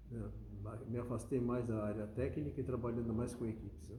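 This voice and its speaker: Marked by vocal fry and a dark, mellow tone, a man of medium pitch speaks with audible room echo. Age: 70s. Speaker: automotive engineer and business owner. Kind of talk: interview. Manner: halting.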